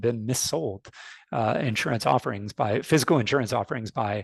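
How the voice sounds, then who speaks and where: With a North American accent, a man speaks fairly quickly at a medium pitch and ordinary pitch variation in a normal speaking voice against a quiet background. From United States (born in Canada). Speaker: fintech industry expert. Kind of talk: webinar panel talk. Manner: frequent fillers and repetitions.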